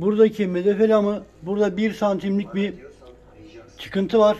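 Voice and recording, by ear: A man's high-pitched voice with a dark, mellow tone, little pitch movement and a moderate pace.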